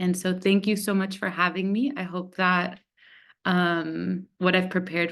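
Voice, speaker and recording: In a fairly slow, fairly even delivery, a woman speaks with an American accent and a fairly low pitch. It is a normal speaking voice against a quiet background. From United States. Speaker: researcher. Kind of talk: webinar presentation.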